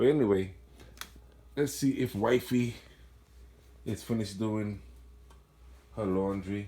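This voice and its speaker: Speaking at a fairly slow pace with a Trinidadian accent, the man has a dark, mellow tone and ordinary pitch variation. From Trinidad and Tobago. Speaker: mountain biker. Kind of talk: casual bike check video. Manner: casual, self-correcting.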